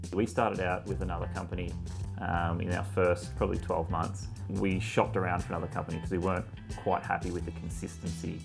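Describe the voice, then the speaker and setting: A man with a very deep, low voice speaks at a very fast pace over clear background music. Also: ordinary pitch variation. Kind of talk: interview answer. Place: cafe. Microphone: lapel.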